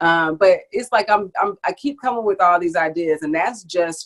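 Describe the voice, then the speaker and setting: A woman talks in an animated tone with a Southern US accent. She keeps a moderate pace. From US South, Savannah, Georgia. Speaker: henna artist, business owner. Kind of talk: testimonial interview.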